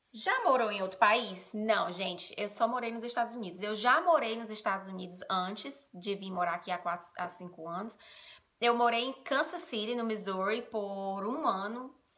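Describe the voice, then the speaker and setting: A woman speaks at a moderate pace with a fairly high pitch, ordinary pitch variation, a bright, sharp tone and big swings in loudness. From Brazil, Ceará (Northeast). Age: 30s. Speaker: vlogger. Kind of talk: casual vlog talk. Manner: casual, chatty.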